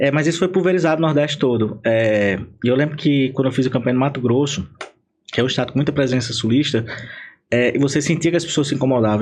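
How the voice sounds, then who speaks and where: The speech comes at a very fast pace in a northeastern Brazilian accent. Pitch variation is ordinary. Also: man. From Paraíba, Brazil. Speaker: political marketing consultant. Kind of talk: podcast interview. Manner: animated.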